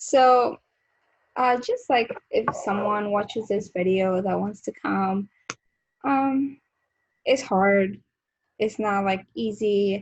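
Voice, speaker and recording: With a Colombian accent and a somewhat breathy voice of medium pitch, a woman speaks at a very slow pace with ordinary pitch variation and long, frequent pauses. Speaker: beauty vlogger. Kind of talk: casual chat. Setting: video call.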